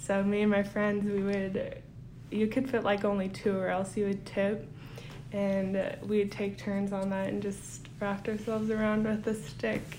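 A woman speaks at a fairly slow pace in a dark, mellow tone. Her voice sits at medium pitch, with audible room echo. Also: fairly even intonation. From Kotzebue, Alaska. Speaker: student intern. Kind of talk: interview.

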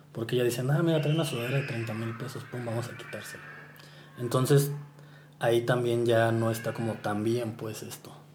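With fairly even intonation and big swings in loudness, a man speaks fairly quickly at a medium pitch over noticeable background noise and audible room echo. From Mexico, Morelia (Michoacán). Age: 30s. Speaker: sneaker collector and Instagram personality. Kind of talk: casual interview. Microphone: poor sound quality.

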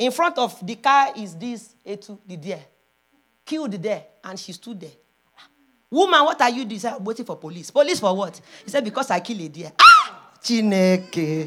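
A woman speaks at a moderate pace with a fairly high pitch. Her pitch swings very widely and her loudness rises and falls a lot. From Nigeria. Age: 40s. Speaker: preacher. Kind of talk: sermon; spoken prayer. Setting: church. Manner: animated.

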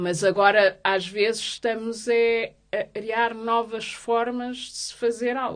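A woman with a fairly high voice speaks at a very slow pace with hardly any pauses, her intonation fairly even but her loudness swinging widely. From Portugal, Lisbon. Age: 30s. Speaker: activist, association president. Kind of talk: interview. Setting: studio. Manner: halting, many fillers.

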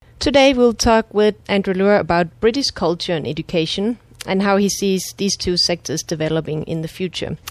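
A woman with a Danish accent speaks at a moderate pace and medium pitch, using lively intonation. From Denmark. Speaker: podcast host. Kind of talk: interview.

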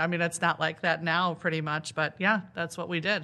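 The speech moves at a fairly quick pace with a Midwestern American accent. The tone is bright and sharp. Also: woman. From northern Illinois. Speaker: school principal. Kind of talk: interview.

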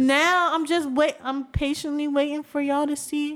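This woman's voice sits high in pitch. She speaks at a moderate pace. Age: 20s. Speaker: podcast co-host. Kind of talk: casual chat.

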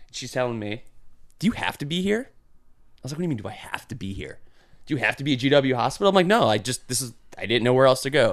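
This man talks at a very fast pace with a medium pitch, lively intonation, big swings in loudness, and long, frequent pauses. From Milwaukee, Wisconsin. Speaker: cancer patient sharing his story. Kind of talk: casual interview. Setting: studio.

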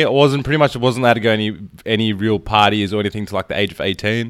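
A man speaks very fast with an Australian accent. The recording is very clean, with a silent background. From Australia, Melbourne. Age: 20s. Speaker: movement coach. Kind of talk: casual chat.

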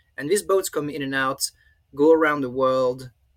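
A man with a French accent, a fairly high pitch and a bright, sharp tone, in a dry, close sound with no echo. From France. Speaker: professor. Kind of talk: interview. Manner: halting.

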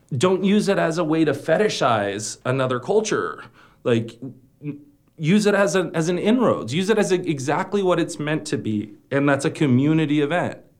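Fairly high-pitched man with an American accent, vocal fry, lively intonation, a moderate pace and audible room echo. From El Centro, California. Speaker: playwright. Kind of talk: panel discussion.

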